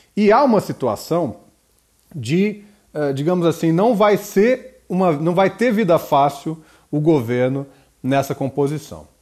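Speaking at a fairly slow pace with long, frequent pauses, a man uses lively intonation and a fairly high pitch. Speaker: professor hosting a political podcast. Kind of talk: solo political commentary.

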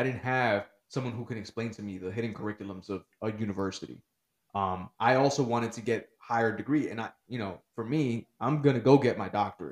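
Speaking with an American accent at a fairly quick pace, this is a plain, everyday voice with ordinary pitch variation and big swings in loudness. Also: man, medium pitch for a man. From Newark, New Jersey. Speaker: educator. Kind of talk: casual chat.

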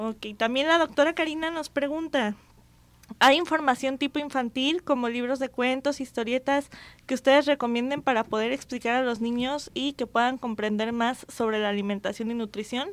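A woman speaks at a moderate pace with a high pitch and ordinary pitch variation. The recording is very clean, with a silent background. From Jalisco, Mexico. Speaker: radio host and physician. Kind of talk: radio talk show.

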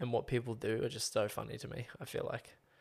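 A man with an Australian accent. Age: 20s. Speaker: podcast co-host. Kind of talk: casual chat.

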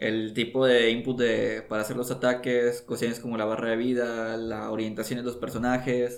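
In a medium-pitched voice, a man speaks with monotone, flat intonation. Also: moderate pace, hardly any pauses. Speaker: podcast co-host. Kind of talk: casual chat. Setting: home recording studio.

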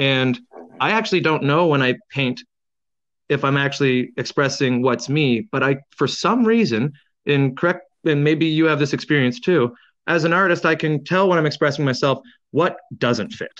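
Over a quiet background, a speaker with a Canadian accent uses an ordinary speaking voice at a moderate pace, with ordinary pitch variation and very even loudness. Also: man, fairly high pitch for a man. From Canada. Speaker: painter and muralist. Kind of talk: casual interview. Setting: phone call on speakerphone.

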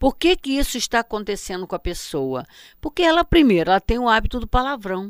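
A woman's voice ranges through very wide pitch swings on a very clean recording with a silent background. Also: dry, close sound with no echo. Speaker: spiritist teacher. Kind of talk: lecture. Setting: web radio.

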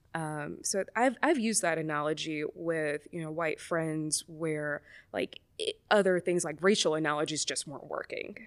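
A woman with an American accent talks at a moderate pace in a very deep, low pitch. The recording is very clean, with a silent background. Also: ordinary pitch variation. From US South, Mobile, Alabama. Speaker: psychologist. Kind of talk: casual chat.

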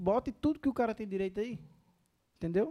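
Recorded very cleanly against a silent background, a man with a dark, mellow tone swings his pitch very widely. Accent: northeastern Brazilian. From Paraíba, Brazil (Northeast). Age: 30s. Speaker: restaurant entrepreneur. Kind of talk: casual interview.

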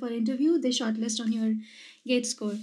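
Fairly high, somewhat breathy female voice with fairly even intonation, in a very clean recording against a silent background. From India, Madhya Pradesh. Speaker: astrophysics doctoral researcher. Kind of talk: casual interview.

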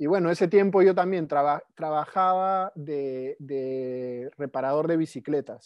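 Over a quiet background, a man talks at a fairly slow pace with a fairly high pitch and ordinary pitch variation. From Peru, Lima. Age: 30s. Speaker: permaculture practitioner. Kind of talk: casual interview chat. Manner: halting, frequent repetitions.

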